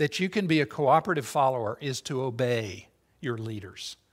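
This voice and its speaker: Against a very clean recording with a silent background, a man with an ordinary speaking voice talks at medium pitch and a moderate pace. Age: 60s. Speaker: interim pastor. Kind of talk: sermon. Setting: church.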